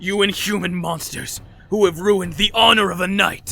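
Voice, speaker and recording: In a put-on character voice, a man speaks high-pitched, raised and projected, at a moderate pace with monotone, flat intonation. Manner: furious, shouting.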